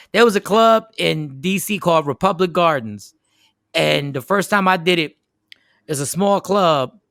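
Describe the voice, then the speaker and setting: Animated, high-pitched male voice with ordinary pitch variation, in a very clean recording with a silent background. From South Jersey. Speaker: comedian. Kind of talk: casual chat.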